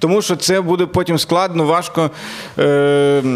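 A man is speaking. His pitch is high. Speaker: comedian and podcast host. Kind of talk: casual chat.

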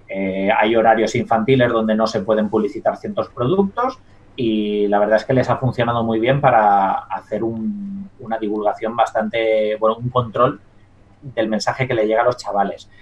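A man speaks at a moderate pace with a medium pitch and lively intonation. Noticeable background noise sits behind his voice. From Spain, La Mancha. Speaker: dietitian-nutritionist and science communicator. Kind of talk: interview.

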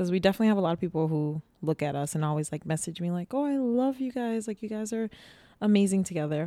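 At a very fast pace, a woman with a medium pitch and a dark, mellow tone speaks with lively intonation. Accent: American. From Boston. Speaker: podcast co-host. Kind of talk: casual chat. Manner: animated.

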